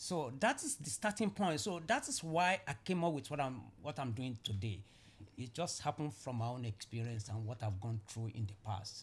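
The voice is somewhat breathy, with very wide pitch swings. It moves at a moderate pace. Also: man, medium pitch for a man. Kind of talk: casual interview conversation.

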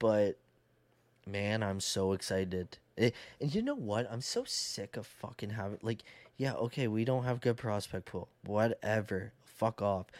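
A man with a Canadian accent has a plain, everyday voice at a fairly low pitch. He speaks at a fairly slow pace with fairly even intonation, and the sound is dry and close with no echo. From Canada. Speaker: sports podcaster. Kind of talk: casual chat.

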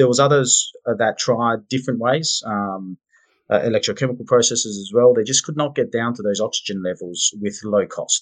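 Man of medium pitch with an Australian accent. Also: ordinary pitch variation, moderate pace. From Perth, Western Australia. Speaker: mining company managing director. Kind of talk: interview.

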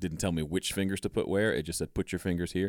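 A man with an American accent and fairly even intonation, on a very clean recording with a silent background and a dry, close sound with no echo. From US South, Mississippi. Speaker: home studio educator and producer. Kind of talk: casual interview chat.

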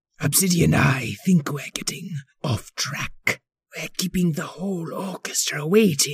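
Putting on a character voice, a man speaks at a moderate pace with a high pitch, the sound dry and close with no echo. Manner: wicked-sounding but polite and exasperated.

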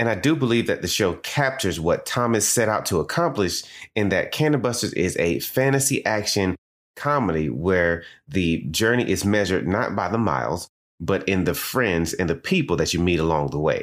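With a Southern US accent, a man speaks in a fairly low voice with very wide pitch swings and an animated, enthusiastic tone, on a very clean recording with a silent background. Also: moderate pace, very even loudness. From US South. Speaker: podcast host. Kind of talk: scripted educational podcast monologue.

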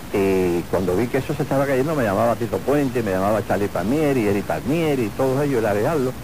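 Over noticeable background noise, a man talks at a very fast pace with hardly any pauses. His medium-pitched voice has lively intonation and very even loudness. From Cuba (Havana). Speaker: retired bandleader and pianist. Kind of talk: interview.

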